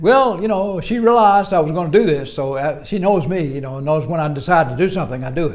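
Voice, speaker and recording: Noticeable background noise sits behind a man with a fairly high pitch and lively intonation. He talks at a very fast pace with hardly any pauses. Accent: American. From United States. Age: 80s+. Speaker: retired engineer. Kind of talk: interview answer.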